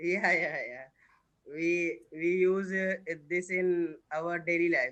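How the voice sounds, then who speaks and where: A man with an Indian accent, high-pitched, at a very slow pace and with fairly even intonation. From India, Uttar Pradesh. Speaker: English learner. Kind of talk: casual chat. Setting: video call. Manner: halting.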